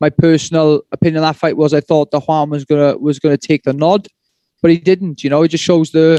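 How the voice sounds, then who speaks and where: A man with a Welsh accent speaks very fast in a monotone, flat way at a fairly high pitch. His tone is dark and mellow, and the sound is dry and close with no echo. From Wales. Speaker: MMA fighter. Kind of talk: press conference answers.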